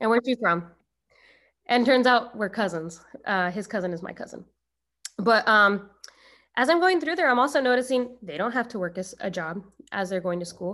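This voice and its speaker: Fairly high-pitched woman's voice with an American accent, bright and sharp in tone, lively in intonation, at a moderate pace with long, frequent pauses, on a very clean recording with a silent background. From Arizona. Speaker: special education teacher. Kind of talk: casual interview.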